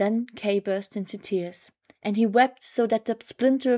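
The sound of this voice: Quiet surroundings and an unforced reading voice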